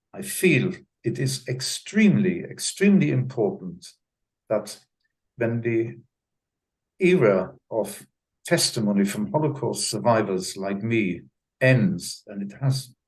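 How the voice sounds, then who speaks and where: Somewhat breathy and medium in pitch, a man's voice makes very wide pitch swings, broken by long, frequent pauses. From Germany. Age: 90s. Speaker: Holocaust survivor. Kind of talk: testimony. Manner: halting, repeats words.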